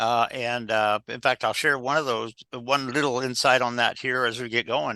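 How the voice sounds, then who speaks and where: A man with a medium pitch and a bright, sharp tone speaks at a moderate pace with fairly even intonation. The sound is dry and close with no echo, over a quiet background. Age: 60s. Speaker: executive coach and former pilot. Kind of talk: podcast interview. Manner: halting, many fillers.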